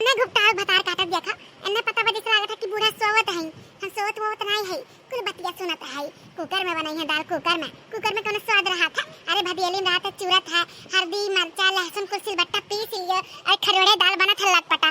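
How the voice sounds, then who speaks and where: In a cartoonish character voice, a woman talks at a fairly quick pace, her extremely high pitch held to fairly even intonation. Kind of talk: comic village cartoon voice. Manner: grumbling, muttering complaints and curses.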